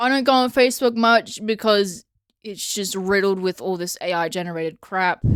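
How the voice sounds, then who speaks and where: At a moderate pace, a woman speaks in an Australian accent. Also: medium pitch for a woman, ordinary pitch variation. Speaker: vlogger. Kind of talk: casual rant. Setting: home, handheld recording. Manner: loud; animated.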